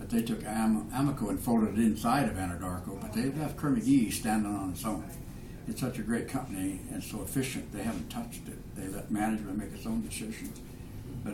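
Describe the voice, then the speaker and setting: A man's fairly low voice at a fairly quick pace, with noticeable background noise and audible room echo. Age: 70s. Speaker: oil and gas businessman. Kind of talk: casual interview.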